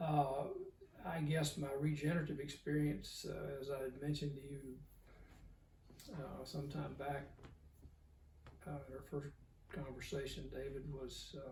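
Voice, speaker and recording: A man with a Southern US accent speaks at a fairly slow pace in a fairly high pitch, his intonation monotone and flat. He leaves long, frequent pauses, and audible room echo surrounds him. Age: 70s. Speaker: cattle breeder. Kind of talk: interview. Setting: in person. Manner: halting, many fillers.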